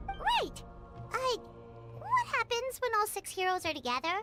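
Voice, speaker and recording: In a put-on character voice pitched extremely high, the speaker talks at a moderate pace over loud music in the background. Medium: video game. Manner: curious, chatty.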